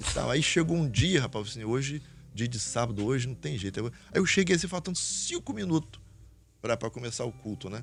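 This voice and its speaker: A man's medium-pitched, normal speaking voice, with lively intonation and a fairly quick pace. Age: 60s. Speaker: pastor. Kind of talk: testimony.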